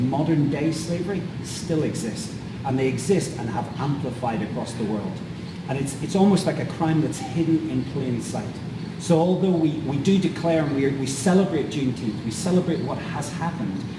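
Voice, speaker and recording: In a Northern Irish accent, a man talks at a moderate pace with fairly high pitch and ordinary pitch variation, amid noticeable background noise and audible room echo. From Northern Ireland. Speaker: anti-trafficking charity leader. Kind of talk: interview.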